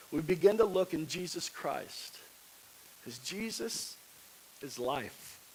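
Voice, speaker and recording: With long, frequent pauses and a very slow pace, a man with a high pitch uses lively intonation and big swings in loudness, and audible room echo surrounds him. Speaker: pastor. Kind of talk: sermon.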